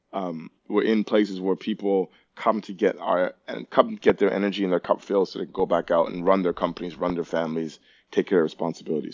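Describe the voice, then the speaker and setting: A man with a Toronto accent speaks at a fairly low pitch and moderate pace with fairly even intonation. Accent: Canadian English (Toronto). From Toronto, Canada. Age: 40s. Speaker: personal trainer and gym owner. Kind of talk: casual chat.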